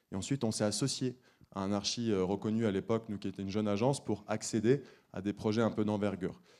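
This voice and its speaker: Speaking very fast, a man has a fairly low voice with a dark, mellow tone. His intonation stays fairly even. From France, Saint-Étienne. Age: 30s. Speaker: architect. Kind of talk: conference presentation. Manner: hesitant, many fillers and repetitions.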